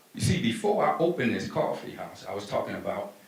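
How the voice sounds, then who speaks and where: A man's voice with very wide pitch swings at a moderate pace, with audible room echo. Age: 60s. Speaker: business owner. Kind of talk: motivational talk. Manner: animated.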